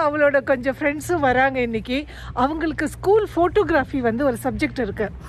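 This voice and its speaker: Dry with no echo, a woman's high voice rises and falls with lively intonation. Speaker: vlogger. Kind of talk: casual vlog chat. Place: street. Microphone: phone near.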